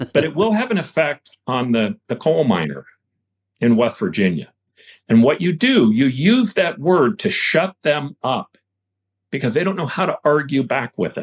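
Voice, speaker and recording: A man speaks at a moderate pace and a fairly high pitch, with vocal fry and very wide pitch swings. The sound is dry and close, without echo. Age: 60s. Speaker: former mayor, politician. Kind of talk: podcast interview. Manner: halting, repeats words.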